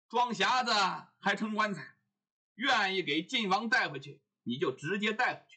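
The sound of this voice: Against a quiet background, the clip carries an unforced reading voice.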